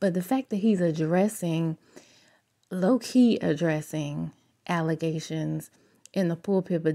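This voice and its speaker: On a very clean recording with a silent background, a woman with an American accent and a fairly low pitch speaks at a moderate pace, her tone dark and mellow and her intonation lively. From US South. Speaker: gossip YouTuber. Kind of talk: casual commentary vlog. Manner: animated.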